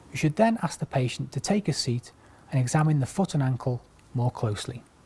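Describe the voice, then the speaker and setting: A soft-spoken man talks at a moderate pace with a medium pitch and lively intonation. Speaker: orthopaedic clinical lecturer. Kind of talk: medical teaching demonstration.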